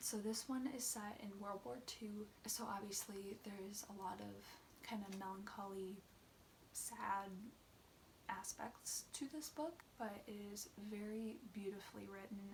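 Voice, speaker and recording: A woman is soft-spoken. She talks at a fairly slow pace. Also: medium pitch for a woman, ordinary pitch variation. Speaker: booktuber. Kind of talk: casual book review vlog.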